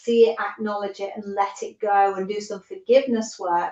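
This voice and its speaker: A woman with a British accent speaks in a fairly high pitch with monotone, flat intonation. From United Kingdom. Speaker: holistic coach, former nurse. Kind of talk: podcast interview answer.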